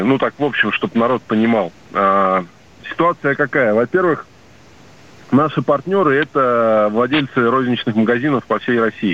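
Speaking at a moderate pace, the man has a normal speaking voice, medium pitch and lively intonation. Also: very even loudness. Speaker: caller, small business owner. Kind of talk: phone-in question. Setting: phone call.

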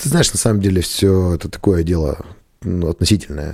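This man's voice is very deep and low, with a dark, mellow tone. He talks at a fairly quick pace with ordinary pitch variation. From rural Russia, village. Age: 30s. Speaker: restaurant and bar owner. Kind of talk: casual interview.

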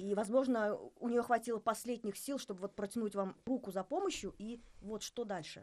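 Using a plain, everyday voice, a woman talks at a moderate pace with a fairly high pitch and ordinary pitch variation. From Bashkortostan. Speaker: podcast host. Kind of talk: interview conversation. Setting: studio.

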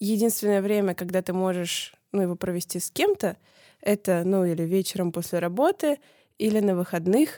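A woman speaks at a moderate pace and medium pitch with a dark, mellow tone. The sound is dry and close with no echo, and the recording is very clean, with a silent background. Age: 20s. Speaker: podcast producer. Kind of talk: casual chat.

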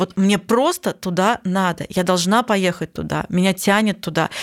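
Non-native accent, ordinary pitch variation and moderate pace on a very clean recording with a silent background. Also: woman. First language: not Russian (speaking Russian). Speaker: psychologist podcast host. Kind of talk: casual chat.

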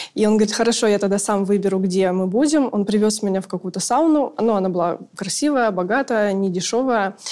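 A dark, mellow tone marks this voice. It holds a moderate pace with ordinary pitch variation. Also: woman. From very small town in Russia. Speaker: sex worker. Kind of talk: interview, personal stories.

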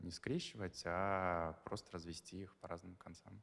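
Speaking at a fairly slow pace, a man uses a very deep, low pitch and a monotone, flat intonation. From Dagestan, Russia (Makhachkala). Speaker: event guest manager and society columnist. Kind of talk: interview. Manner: halting, with repetitions.

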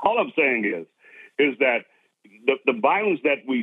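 This man speaks with lively intonation. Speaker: pastor and civil rights leader. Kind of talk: interview commentary.

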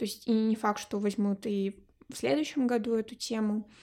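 Very clean, with a silent background, the recording features a woman with fairly high pitch and a dark, mellow tone. She speaks at a fairly slow pace with fairly even intonation. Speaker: podcast co-host, graduate student. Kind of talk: casual chat.

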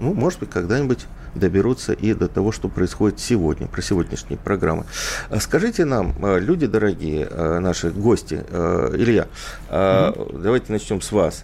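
A man uses an ordinary speaking voice, fairly low in pitch, with lively intonation and a moderate pace. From Ukraine, Odesa. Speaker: radio host. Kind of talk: radio talk show. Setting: studio.

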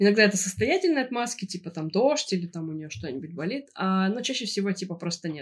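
The woman's voice is mid-range in pitch. It carries a somewhat airy quality. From Russia, St Petersburg. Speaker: podcast co-host. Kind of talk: casual chat.

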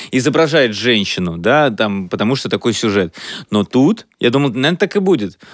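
In a very clean recording with a silent background, a man talks at a fairly quick pace with lively intonation in an ordinary speaking voice. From Russia, Chelyabinsk. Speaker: podcast co-host, comedian and writer. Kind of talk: casual chat.

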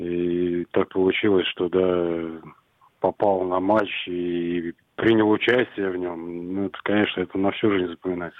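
A man's very deep, low voice, fairly slow and monotone, with flat intonation. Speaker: youth football coach. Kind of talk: radio interview.

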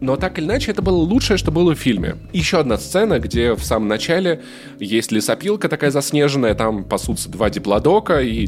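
A man at a fairly quick pace with very wide pitch swings, over background music. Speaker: podcast host. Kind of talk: casual chat.

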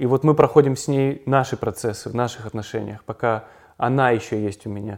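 Here a man talks at medium pitch and a moderate pace with ordinary pitch variation. The recording is very clean, with a silent background. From Kazan, Russia, then Israel from age 10. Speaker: documentary film director. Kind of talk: casual interview. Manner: reflective, with pauses.

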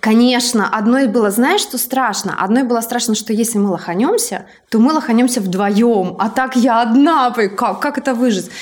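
In an ordinary speaking voice, a woman talks at a fairly high pitch and a moderate pace with ordinary pitch variation. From outside Moscow, Russia. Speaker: podcast host and entrepreneur. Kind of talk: casual chat.

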